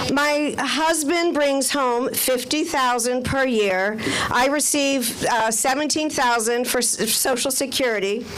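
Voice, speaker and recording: A woman with a high-pitched voice speaks at a fairly slow pace with hardly any pauses, ordinary pitch variation and very even loudness, with audible room echo and noticeable background noise. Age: 60s. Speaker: community member testifying at rally. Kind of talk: testimony.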